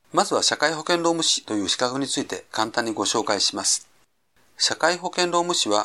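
On a very clean recording with a silent background, a man with a fairly high pitch and bright, sharp tone moves at a moderate pace through very wide pitch swings. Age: 50s. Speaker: labor and social security consultant. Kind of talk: podcast monologue. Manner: formal.

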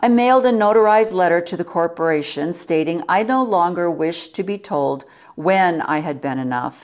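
Speaking at a moderate pace, a woman with an unremarkable speaking voice pitched fairly low uses lively intonation. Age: 60s. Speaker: podcast host. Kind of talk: reading aloud.

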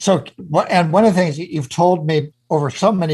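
The man's voice has a dark, mellow tone. It sounds somewhat breathy. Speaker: radio host. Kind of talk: interview.

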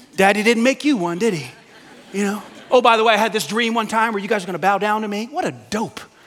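Over noticeable background noise, a high-pitched man with an American accent talks at a very fast pace, his pitch varying in an ordinary way. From Staten Island, New York. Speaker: pastor. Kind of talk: sermon. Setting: church. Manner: animated.

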